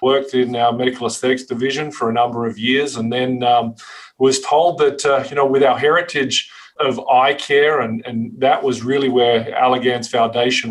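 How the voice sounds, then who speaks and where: A man speaks with a strong Australian accent at medium pitch. His pace is fairly quick. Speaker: pharmaceutical marketing executive. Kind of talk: interview. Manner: hesitant, many fillers.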